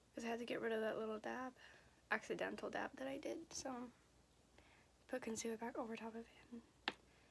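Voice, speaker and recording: Her fairly high-pitched voice carries vocal fry as the woman keeps a fairly even intonation and leaves long, frequent pauses. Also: fairly quick pace. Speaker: beauty vlogger. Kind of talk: casual makeup tutorial chat. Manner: repeats and restarts sentences.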